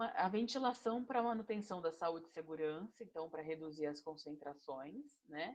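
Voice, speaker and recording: Her pitch very deep and low, the woman talks with lively intonation. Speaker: engineering instructor. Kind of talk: online lecture.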